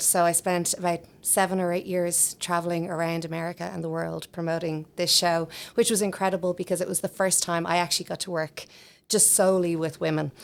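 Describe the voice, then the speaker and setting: A woman with an Irish accent speaks at a fairly quick pace. The recording is very clean, with a silent background. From Ireland, Dublin. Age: 40s. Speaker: singer and voice teacher, podcast co-host. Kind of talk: casual self-introduction.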